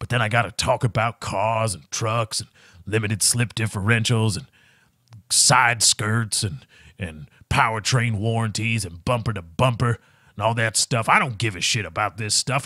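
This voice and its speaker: A man's gravelly, put-on character voice at medium pitch and moderate pace, in a very clean recording with a silent background. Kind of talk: salesy.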